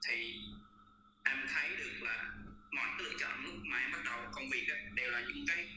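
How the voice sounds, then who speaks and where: With long, frequent pauses, a man speaks at a moderate pace amid noticeable background noise and audible room echo. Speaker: audience participant. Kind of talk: sharing personal experience in a panel discussion. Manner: halting.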